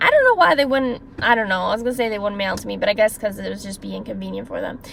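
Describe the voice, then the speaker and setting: Woman's animated, very fast speech with big swings in loudness over noticeable background noise. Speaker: former caregiver, vlogger. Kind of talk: storytime monologue.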